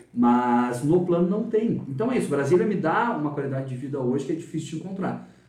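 A man talks at a fairly quick pace with a fairly high pitch. Room echo is audible, and there is noticeable background noise. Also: hardly any pauses. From Rio Grande do Sul, Brazil (Dom Pedrito, Capão da Canoa). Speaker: journalist. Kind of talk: interview. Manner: talkative.

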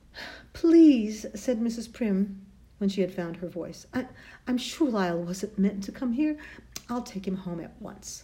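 The voice is natural. It reads a text aloud.

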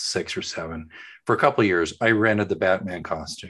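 A man speaks with an American accent over a quiet background. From Oklahoma. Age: middle-aged. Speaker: podcast co-host. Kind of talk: casual chat.

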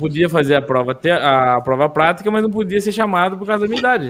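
A man talks at a fairly quick pace in a high voice. His intonation is lively. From interior of São Paulo state, Brazil. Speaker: gravedigger. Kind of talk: casual chat.

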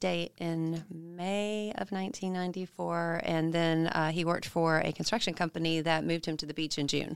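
The woman has a plain, everyday voice, fairly low in pitch, and keeps a moderate pace. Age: 50s. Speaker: widow and foundation founder. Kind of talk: interview testimony. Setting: studio.

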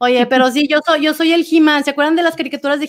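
A woman races through her words very fast, her intonation fairly even. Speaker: podcast co-host. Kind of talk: casual chat.

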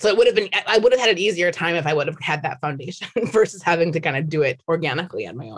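A somewhat breathy woman with a fairly low voice and an American accent speaks very fast with lively intonation, hardly any pauses and big swings in loudness. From US Midwest, Minnesota. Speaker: sales executive. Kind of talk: interview.

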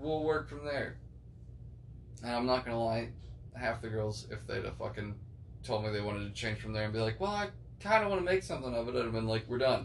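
A man talks at a very fast pace broken by long, frequent pauses, with noticeable background noise and audible room echo. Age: 20s. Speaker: podcast host. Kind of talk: casual chat. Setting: living room recording.

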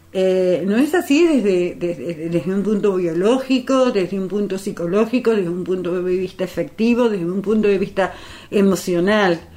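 Over noticeable background noise, a woman at medium pitch talks at a moderate pace with ordinary pitch variation and hardly any pauses. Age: 60s. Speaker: activist. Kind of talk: radio interview. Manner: halting, many fillers.

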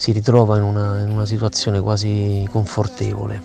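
The speaker is a man. His pitch is fairly low. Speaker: writer. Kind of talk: voice message monologue. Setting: recorded at home.

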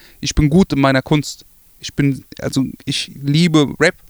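A man talks at a moderate pace in an unremarkable speaking voice with ordinary pitch variation. The sound is dry and close, with no echo. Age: 20s. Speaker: rapper. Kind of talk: interview. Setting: studio.

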